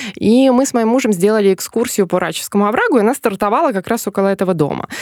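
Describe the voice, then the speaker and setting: Medium-pitched female speech amid noticeable background noise. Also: dry, close sound with no echo. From Smolensk region, Russia. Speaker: tour guide and journalist. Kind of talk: casual chat. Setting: studio. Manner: talkative.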